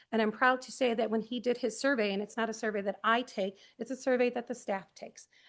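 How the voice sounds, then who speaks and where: The delivery is fairly quick, with fairly even intonation. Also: woman. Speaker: school principal. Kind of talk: presentation to school board committee. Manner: fast.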